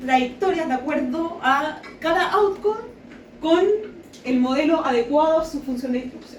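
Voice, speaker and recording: A woman's voice with ordinary pitch variation, amid audible room echo and noticeable background noise. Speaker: sociology researcher. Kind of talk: academic lecture. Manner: fast.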